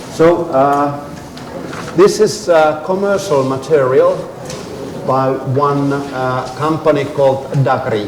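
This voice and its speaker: Over noticeable background noise and audible room echo, a man speaks at a fairly high pitch and a very slow pace with long, frequent pauses. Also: ordinary pitch variation. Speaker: professor. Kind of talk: lecture.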